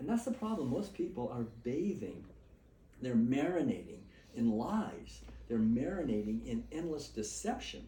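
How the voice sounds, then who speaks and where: Audible room echo and noticeable background noise behind an American accent. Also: man. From Massachusetts, Boston area. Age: 70s. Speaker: author and vegan speaker. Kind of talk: informal talk to small audience. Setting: gathering in a private house. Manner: fast.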